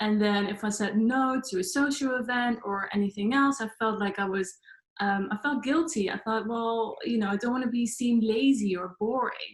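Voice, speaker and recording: A woman with a Dutch accent speaks at a fairly high pitch with ordinary pitch variation. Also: moderate pace. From Netherlands. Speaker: life coach. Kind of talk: talk to online audience.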